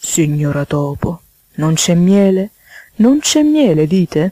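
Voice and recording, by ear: A woman uses a put-on character voice at a fairly low pitch and slow pace, with big pitch swings. Her tone is dark and mellow, and the sound is dry and close with no echo.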